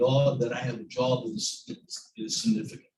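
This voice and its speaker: An American accent marks this man's somewhat breathy voice, which has a medium pitch, ordinary pitch variation and a moderate pace. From US South, Southeast Virginia. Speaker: university provost. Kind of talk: speech at event. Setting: room with audience, live stream.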